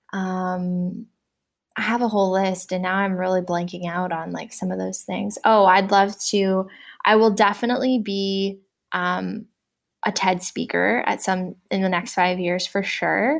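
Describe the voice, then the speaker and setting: A woman with a Canadian accent talks at a fairly slow pace in a plain, everyday voice. Her medium pitch holds fairly even intonation on a very clean recording with a silent background. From Canada (Windsor, Ontario). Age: 20s. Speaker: entrepreneur. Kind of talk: interview. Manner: casual, many fillers and laughs.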